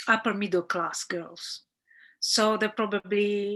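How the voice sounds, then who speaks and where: A woman with an Italian accent, a bright, sharp tone and fairly even intonation, against a quiet background. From central Italy. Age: 50s. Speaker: documentary director. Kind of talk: interview Q&A. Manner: halting, many fillers and repetitions.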